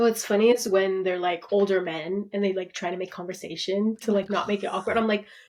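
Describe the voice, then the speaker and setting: A woman speaks at a medium pitch with hardly any pauses. Background noise is noticeable. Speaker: podcast co-host. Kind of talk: casual chat. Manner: loud; animated.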